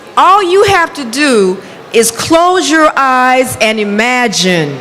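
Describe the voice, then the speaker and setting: With noticeable background noise and audible room echo, a woman speaks very slowly at a high pitch, her voice making very wide pitch swings. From United States. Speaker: hair expert and speaker. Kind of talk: motivational conference talk. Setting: stage with audience, interpreted. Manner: halting in French.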